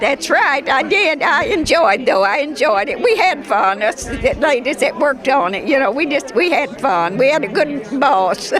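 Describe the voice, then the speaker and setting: The voice swings very widely in pitch at a moderate pace, with very even loudness and hardly any pauses. Noticeable background noise and audible room echo surround it. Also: woman, high pitch for a woman. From Kentucky. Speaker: wartime factory worker. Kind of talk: interview. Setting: airport hangar event.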